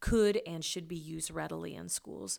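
A woman with a Midwestern American accent on a very clean recording with a silent background. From rural western Kansas, US. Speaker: education professor. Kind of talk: interview.

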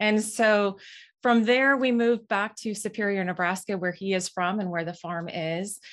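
Speaking with an Upper Midwest accent, a woman keeps a moderate pace and a medium pitch with ordinary pitch variation. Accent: Upper Midwest American. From Minnesota (Moorhead). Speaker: farm software co-founder. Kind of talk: interview.

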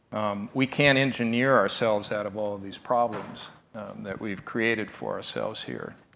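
With an American accent, a man talks in fairly even intonation, his loudness swinging widely. Audible room echo and noticeable background noise surround him. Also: medium pitch for a man, moderate pace. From Nebraska. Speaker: wildlife photographer. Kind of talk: conference talk.

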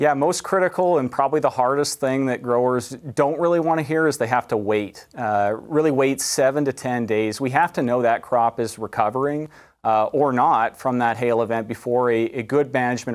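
A man with a Canadian prairie accent talks at a fairly quick pace and a medium pitch, with ordinary pitch variation and hardly any pauses. The recording is very clean, with a silent background. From Canada, southwestern Manitoba. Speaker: university entomology professor. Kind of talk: TV interview.

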